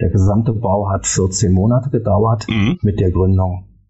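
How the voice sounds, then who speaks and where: A man speaks at a fairly slow pace in a very deep, low voice with vocal fry and ordinary pitch variation. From Germany, Berlin. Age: 50s. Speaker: architect and property developer. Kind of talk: podcast interview.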